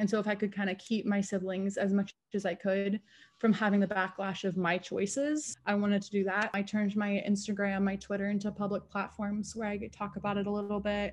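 A woman talks at a fairly quick pace with hardly any pauses, somewhat breathy. Her medium-pitched delivery is monotone, with flat intonation. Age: 20s. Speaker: online content creator, sex worker; interviewee, online content creator. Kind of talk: interview. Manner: casual, filler-heavy. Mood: relaxed, reflective. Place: home room. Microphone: video call.

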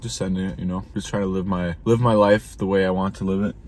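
A man with an American accent at a very fast pace, dry sound with no echo and light background noise. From Minnesota. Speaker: YouTuber vlogging a road trip. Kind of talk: casual vlog talk to camera. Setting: in his truck. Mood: reflective, uncertain. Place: car. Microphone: phone near.

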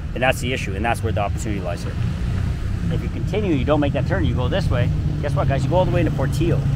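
Loud background noise surrounds a man talking at a very fast pace, the sound dry with no echo. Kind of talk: casual promotional walk-and-talk. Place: street. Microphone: lapel.

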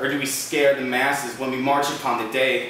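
Fairly quick, fairly high-pitched male speech with strong room echo and light background noise. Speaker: slam poet. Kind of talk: spoken-word poetry performance, rhymed and rapid-fire. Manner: urgent, defiant, rallying.

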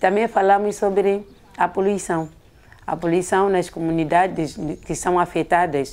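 A woman speaks at a very slow pace in a fairly low pitch. Her pitch varies in an ordinary way. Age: 50s. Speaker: women's association coordinator. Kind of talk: interview.

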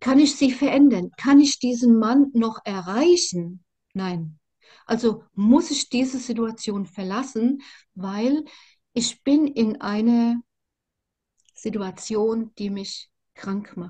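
A woman's fairly high, dark and mellow voice with ordinary pitch variation, very slow with long, frequent pauses and big swings in loudness, against a quiet background. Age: 60s. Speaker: survivor of narcissistic abuse sharing her story; interviewee. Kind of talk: personal testimony interview. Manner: halting, many fillers and repetitions. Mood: earnest, emotional. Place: home room. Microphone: video call.

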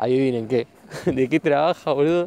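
A man with a Rioplatense accent and a dark, mellow tone talks at a moderate pace in a fairly high pitch. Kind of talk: casual talk recorded while walking. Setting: outdoors. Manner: improvised, informal.

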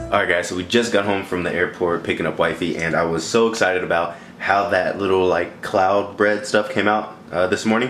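Over noticeable background noise, a man talks at a very fast pace. His pitch is fairly low, with ordinary variation. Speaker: fitness vlogger. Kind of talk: casual vlog chat. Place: kitchen. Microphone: phone near.

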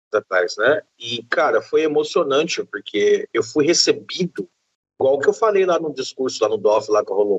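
Against a quiet background, a man speaks at a moderate pace with a dry sound and no echo. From interior of Bahia, Brazil. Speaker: publisher and game event organizer. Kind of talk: casual chat. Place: home room. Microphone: video call.

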